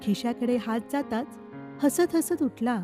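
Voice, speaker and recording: With music playing in the background, a woman speaks at a high pitch with lively intonation. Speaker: anchor and voice-over artist. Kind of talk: poetry reading.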